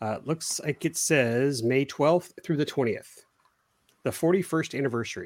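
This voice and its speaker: In a very clean recording with a silent background, a man uses a normal speaking voice, fairly high in pitch, with ordinary pitch variation and a moderate pace. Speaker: RC hobby podcast host. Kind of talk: casual chat, live stream.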